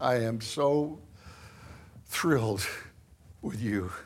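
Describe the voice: A man with a Northern American accent talks at a very slow pace. His pitch is medium, with ordinary pitch variation.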